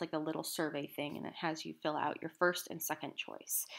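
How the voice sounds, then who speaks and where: A woman with a very deep, low pitch talks at a fairly quick pace in a monotone, flat intonation. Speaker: college composition instructor. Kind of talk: screen-capture tutorial. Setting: screen recording on laptop.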